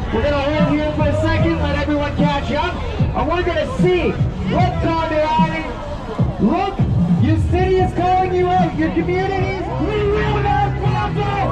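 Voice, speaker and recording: Loud music plays behind a man speaking. He keeps a moderate pace. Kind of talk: rally speech. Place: street. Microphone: camera far.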